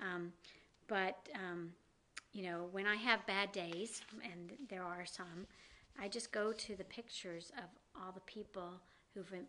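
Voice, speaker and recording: With a slight Southern US accent, a woman speaks at a fairly slow pace with fairly even intonation and long, frequent pauses. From US South. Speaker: downtown business district director. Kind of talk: interview.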